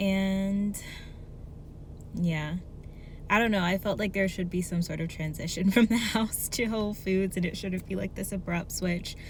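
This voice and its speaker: A woman's somewhat breathy, medium-pitched voice at a moderate pace, broken by long, frequent pauses. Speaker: artist, vlogger. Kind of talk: casual talk to camera.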